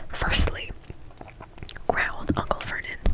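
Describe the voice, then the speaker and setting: Over noticeable background noise, a woman's whisper proceeds at a moderate pace. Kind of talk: audiobook-style reading of a novel. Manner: soft, whispering.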